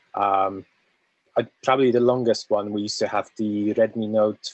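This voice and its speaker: The recording of a man with a Polish accent has a dry, close sound with no echo. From Poland. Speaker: community member. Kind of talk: casual chat.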